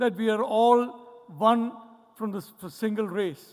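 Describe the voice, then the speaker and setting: At a fairly slow pace, a man with a Mumbai accent speaks at a high pitch with ordinary pitch variation. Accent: Mumbai Indian English. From India, Mumbai. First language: Malayalam. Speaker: professor. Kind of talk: conference keynote speech.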